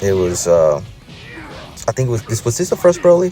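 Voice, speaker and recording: A man speaking over background music. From Puerto Rico. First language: Spanish. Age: 30s. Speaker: gaming YouTuber. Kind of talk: gameplay commentary. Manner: casual, hesitant with fillers.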